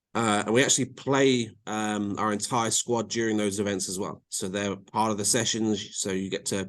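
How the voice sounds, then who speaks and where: In a quiet background, a man with an English accent talks at a fairly low pitch. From England. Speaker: college soccer coach. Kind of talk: podcast interview. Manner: many fillers and repeats.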